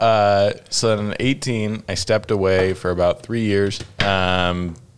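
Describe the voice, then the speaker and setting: The man's pitch is very deep and low, and his intonation stays fairly even. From Utah, US. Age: 20s. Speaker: stand-up comedian. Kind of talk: casual chat. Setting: home studio.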